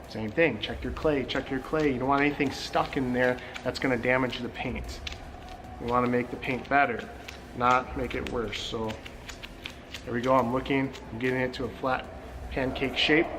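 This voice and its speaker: A man at a medium pitch and moderate pace, with long, frequent pauses, audible room echo and noticeable background noise. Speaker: car detailing show host. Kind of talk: tutorial. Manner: animated.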